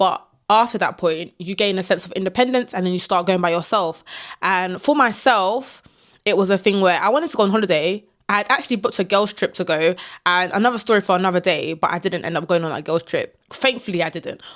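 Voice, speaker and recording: A woman with a London accent talks at a very fast pace in an animated tone. Her pitch is medium, with ordinary pitch variation. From London, England. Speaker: travel vlogger. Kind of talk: casual talk to camera.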